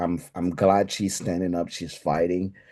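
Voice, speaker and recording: With an African accent, the voice has a dark, mellow tone against a quiet background. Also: man. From Togo, West Africa. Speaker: spirits consultant. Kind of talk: podcast interview. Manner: animated.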